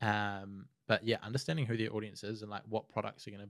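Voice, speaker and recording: A man with a New Zealand accent at a very fast pace, fairly low in pitch with fairly even intonation, against a quiet background. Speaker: social media marketer; podcast guest. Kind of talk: casual interview. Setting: studio. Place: studio. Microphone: studio mic.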